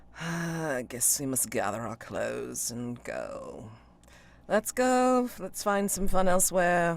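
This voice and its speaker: Using a put-on character voice, a man speaks at a high pitch. His pitch swings very widely. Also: fairly slow pace. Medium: actual play.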